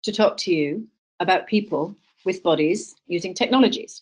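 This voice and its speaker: This woman talks at a moderate pace. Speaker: wearables researcher. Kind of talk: webinar talk. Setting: video call. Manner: speaking loudly to be heard. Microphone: quiet, has to sit close to computer.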